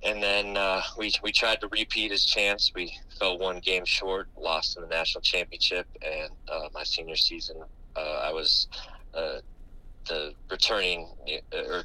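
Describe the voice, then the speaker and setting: Over noticeable background noise, a man with an American accent talks at a fairly slow pace. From US West Coast, San Diego California. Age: 30s. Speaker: basketball assistant coach. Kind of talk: interview. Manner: halting, many fillers and repeated words.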